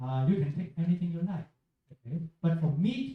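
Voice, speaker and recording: A man with a Chinese accent, fairly high-pitched, with a dark, mellow tone and a fairly quick pace. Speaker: Buddhist teacher. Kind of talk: Q&A with school students. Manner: halting.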